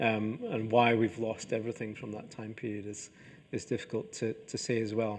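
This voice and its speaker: In a Scottish accent, a man speaks at medium pitch and a moderate pace with monotone, flat intonation. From northeast Scotland. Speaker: archaeology professor. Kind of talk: lecture Q&A. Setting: lecture hall with audience.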